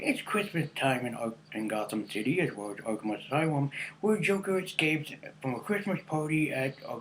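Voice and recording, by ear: A man's medium-pitched voice with a fairly bright tone, lively intonation and a moderate pace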